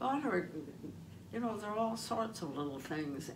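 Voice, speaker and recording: Pitch varies in an ordinary way over noticeable background noise. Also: woman. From Canada. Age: 80s+. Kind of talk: interview answer.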